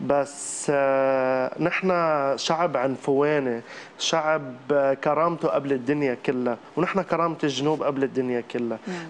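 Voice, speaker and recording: A fairly high-pitched man speaks at a fairly slow pace. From South Lebanon. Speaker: comedic actor and social media creator. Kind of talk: TV interview. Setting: TV studio with audience. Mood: earnest, proud. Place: studio. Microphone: lapel.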